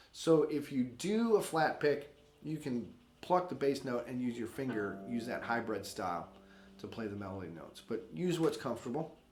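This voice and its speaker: In a room with audible echo, a man with a medium pitch talks at a moderate pace, his pitch swinging very widely and his loudness rising and falling sharply. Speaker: guitar teacher. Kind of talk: tutorial. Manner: casual.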